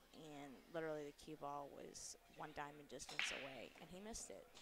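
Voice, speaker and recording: The voice is quiet. The pace is moderate. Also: woman. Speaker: pool commentator. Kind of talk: live commentary. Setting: live stream at pool tournament venue. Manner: quiet to avoid distracting players.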